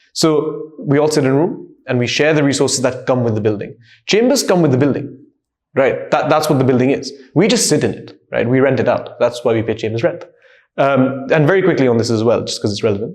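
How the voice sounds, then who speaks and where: Talking at a fairly quick pace, a man with a fairly high pitch and lively intonation is heard with audible room echo. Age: 20s. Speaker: barrister. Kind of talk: interview. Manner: code-switching between English and Hindi-Urdu.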